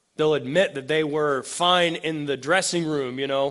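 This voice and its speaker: A man with a normal speaking voice, fairly high pitch, fairly even intonation and a moderate pace. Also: quiet background. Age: 40s. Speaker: pastor. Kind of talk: sermon.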